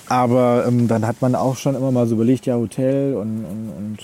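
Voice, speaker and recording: This is a normal speaking voice from a man at a medium pitch. He keeps a moderate pace and fairly even intonation. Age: 30s. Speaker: travel agent. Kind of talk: casual interview. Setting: outdoors.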